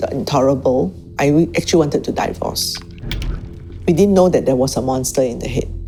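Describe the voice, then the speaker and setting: Music fills the background. Over it, a woman talks. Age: 60s. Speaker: spouse caregiver. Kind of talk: documentary interview.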